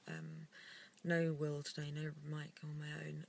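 A woman's voice comes through in a dry sound with no echo. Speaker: vlogger. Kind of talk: casual vlog chat. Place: car. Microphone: phone near.

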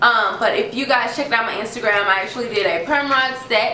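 Over noticeable background noise, a woman talks at a very fast pace in an animated tone with ordinary pitch variation. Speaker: beauty vlogger. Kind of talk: product review tutorial. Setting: home video recording.

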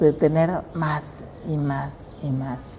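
A woman's voice over light background noise. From Mexico, Costa Chica of Guerrero. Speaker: local resident interviewee. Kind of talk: interview reminiscence. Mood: nostalgic, reflective. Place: hall. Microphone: lapel.

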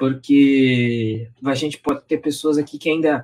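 Male speech, rather unhurried, pitch moving in an ordinary way. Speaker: online class host. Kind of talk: lecture intro, live stream. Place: home room.

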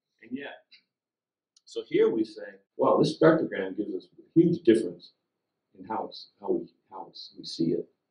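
With an American accent, a man speaks at a moderate pace with long, frequent pauses and big swings in loudness, in a quiet background with audible room echo. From US West Coast (California). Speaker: neuroscience professor. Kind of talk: public science lecture. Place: meeting room. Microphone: podium.

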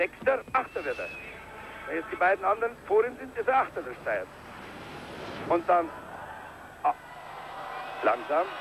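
Noticeable background noise sits behind the speech. The pace is moderate, with long, frequent pauses. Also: man. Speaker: ski jumping commentator. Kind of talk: live TV ski jumping commentary, archive broadcast. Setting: commentary over a broadcast of a ski jump event, crowd noise. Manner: swells with cheer at big jumps, rattles off names and distances.

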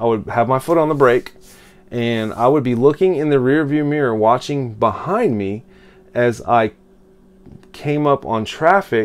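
A fairly slow pace over faint background music. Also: man. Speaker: self-help vlogger. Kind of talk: casual vlog talk. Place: home room. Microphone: phone near.

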